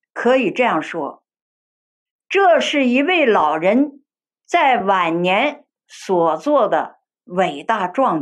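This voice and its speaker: A woman speaks very slowly with a fairly high pitch and long, frequent pauses. Her pitch swings very widely and her loudness rises and falls sharply. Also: quiet background. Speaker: Buddhist lay speaker; speaker. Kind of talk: dharma talk. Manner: formal.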